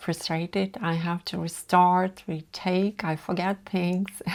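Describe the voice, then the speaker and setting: A woman speaks at a very slow pace with a non-native accent. The recording is very clean, with a silent background. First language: not English. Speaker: content creator. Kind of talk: vlog talk to camera. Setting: filming alone in front of camera.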